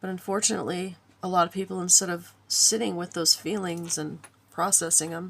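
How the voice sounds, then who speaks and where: A woman in a relaxed tone. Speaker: spiritual video creator and crafter. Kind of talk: casual spiritual monologue. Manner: relaxed, hesitant with fillers.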